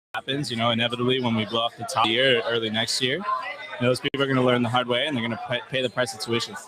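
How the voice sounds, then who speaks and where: Speaking very fast in a Miami accent, a man holds a medium pitch. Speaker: bitcoin conference speaker. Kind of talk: casual chat. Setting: live stream from conference tent. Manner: animated.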